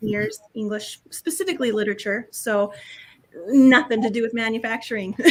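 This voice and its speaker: Here a woman talks at a fairly quick pace. She has a strong North Dakota accent. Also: fairly high pitch for a woman, ordinary pitch variation. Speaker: equity and inclusion communications director, former teacher. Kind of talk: podcast interview.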